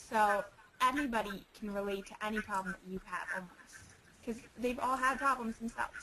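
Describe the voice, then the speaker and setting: A woman's fairly high voice moves at a moderate pace with ordinary pitch variation, heard through noticeable background noise. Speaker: youth advocate presenter. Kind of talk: webinar presentation, personal story. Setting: online webinar. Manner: loud, animated.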